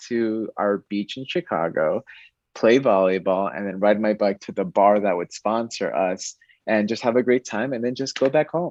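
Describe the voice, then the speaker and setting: A plain, everyday voice from a man with an American accent, medium-pitched at a moderate pace, with a dry, close sound, no echo and a quiet background. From Connecticut. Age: 30s. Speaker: bank diversity manager and cyclist. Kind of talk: interview conversation.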